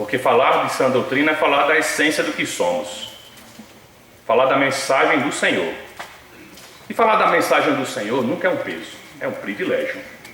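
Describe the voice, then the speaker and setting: With audible room echo and noticeable background noise, a man talks at a moderate pace broken by long, frequent pauses. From Northeast Brazil. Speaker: preacher. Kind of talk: sermon.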